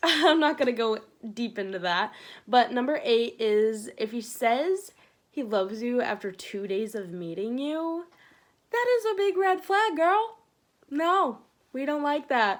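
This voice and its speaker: Loud and at a fairly slow pace, a woman speaks in a high voice with very wide pitch swings. The recording is very clean, with a silent background. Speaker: vlogger giving relationship advice. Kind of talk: casual vlog monologue. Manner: animated.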